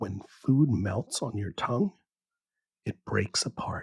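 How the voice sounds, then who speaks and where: A man speaks at a fairly slow pace in a calm, soothing, somewhat breathy tone with lively intonation. The sound is dry and close, with no echo. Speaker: bedtime science podcast host. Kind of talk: sleep story. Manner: calm, soothing, slow.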